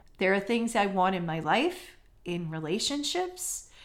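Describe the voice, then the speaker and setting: Her pitch swinging very widely, a woman speaks at medium pitch and a very slow pace. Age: 40s. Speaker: career coach and podcast host. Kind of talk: motivational solo podcast. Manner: animated.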